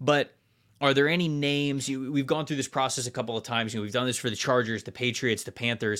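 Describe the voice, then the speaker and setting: On a very clean recording with a silent background, a fairly quick voice with an American accent sounds bright and sharp, its pitch varying in an ordinary way. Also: man. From Florida. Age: 30s. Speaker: football podcast host. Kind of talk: casual chat.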